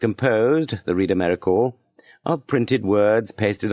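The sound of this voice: The voice reads in an unforced way, with an ordinary amount of pitch movement. Behind it, all is quiet.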